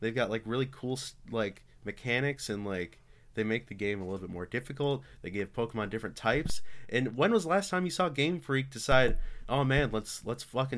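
On a very clean recording with a silent background, a man with a plain, everyday voice talks at a medium pitch and a fairly quick pace. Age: young. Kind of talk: casual chat.

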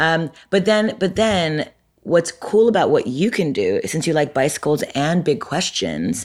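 A woman's fairly low voice with vocal fry and lively intonation at a moderate pace, in a very clean recording with a silent background. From Montreal, Quebec. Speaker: entrepreneur and author. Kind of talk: casual interview. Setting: office.

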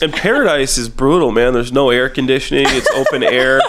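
This man speaks fairly quickly. You can clearly hear background noise around his voice. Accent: American. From US Midwest, small-town Illinois. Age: 30s. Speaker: podcast guest, reality TV personality. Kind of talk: casual chat.

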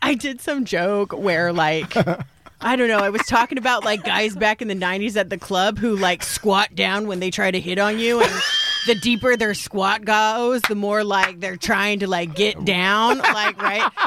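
Fairly slow speech in an American accent, with ordinary pitch variation and noticeable background noise. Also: woman, medium pitch for a woman. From Salt Lake City, Utah. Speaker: comedian. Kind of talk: casual chat. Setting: studio.

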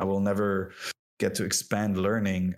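A man with a French accent speaks at a moderate pace in a very deep, low pitch, his intonation monotone and flat. The recording is very clean, with a silent background. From France and Lebanon. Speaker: game industry professional. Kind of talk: podcast interview. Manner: halting, with many fillers.

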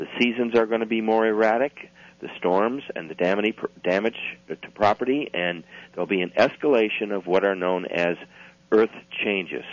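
A man speaks in a plain, everyday voice at a moderate pace, his pitch fairly low and its variation ordinary. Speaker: author and researcher. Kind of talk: interview.

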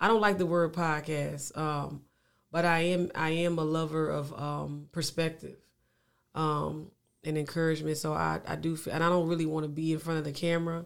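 Recorded very cleanly over a silent background, a man with a Louisiana accent speaks at a fairly high pitch and a moderate pace in a monotone, flat intonation. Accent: Louisiana Southern US, noticeable. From Louisiana, US; Lafayette, Louisiana. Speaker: singer-songwriter. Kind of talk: casual interview chat. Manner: repetitive, stammering phrases, laid-back.

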